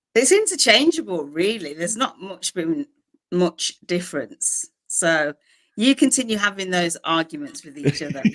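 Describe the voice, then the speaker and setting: A woman with a Birmingham accent speaks at medium pitch and a moderate pace, with very wide pitch swings and big swings in loudness, in a dry, close sound with no echo. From England, Birmingham. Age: 40s. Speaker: publisher. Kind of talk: interview.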